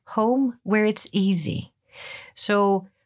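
A woman speaks very slowly in a Greek accent. The recording is very clean, with a silent background. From Greece, Ioannina (northwest). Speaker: English as a second language teacher. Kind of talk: interview.

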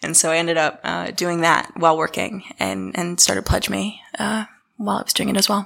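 Someone with an American accent talks at a fairly quick pace, pitch swinging very widely. Vocal fry runs through the voice. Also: woman, fairly low pitch for a woman. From Dunedin, New Zealand (partly Boston). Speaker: startup CEO, crowdfunding. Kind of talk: casual interview.

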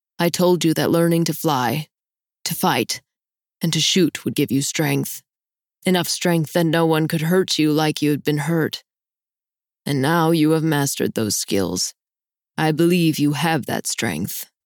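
At a moderate pace and middle pitch, a soft-spoken, gruff put-on character voice speaks with long, frequent pauses. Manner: soft, sober.

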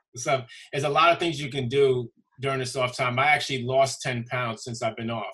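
With an American accent, a man speaks at a fairly quick pace in a medium pitch, his tone bright and sharp and his intonation fairly even. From Brooklyn, New York. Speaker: basketball referee. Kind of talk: casual chat.

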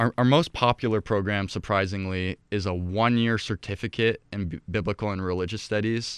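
A man with a plain, everyday voice and fairly low pitch speaks at a fairly quick pace with hardly any pauses and fairly even intonation, the sound dry and close with no echo over a quiet background. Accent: American. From Ecuador (Quito), to American parents. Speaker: college president. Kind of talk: interview.

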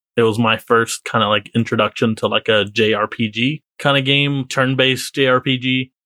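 A man with an ordinary speaking voice, medium pitch, fairly even intonation and very even loudness, at a moderate pace with hardly any pauses. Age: 20s. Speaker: podcast co-host. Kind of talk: casual chat.

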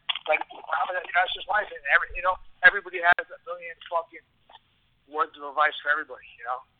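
A man with a New York accent talks at a very fast pace and a high pitch. His loudness swings widely. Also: ordinary pitch variation. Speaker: mixed martial arts fighter. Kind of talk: interview.

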